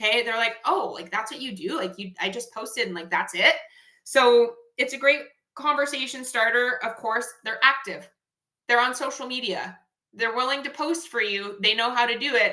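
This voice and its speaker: Her loudness swings widely as a woman speaks with a high pitch, a bright, sharp tone and ordinary pitch variation. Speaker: network marketing team leader. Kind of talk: team training call. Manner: fast; animated.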